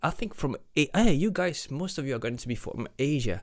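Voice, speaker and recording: A man speaks at a moderate pace in a French accent, his voice fairly high with very wide pitch swings. The recording is very clean, with a silent background. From France. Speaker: singer-songwriter and reaction video host. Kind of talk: reaction video commentary. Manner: hesitant, many fillers; loud when singing.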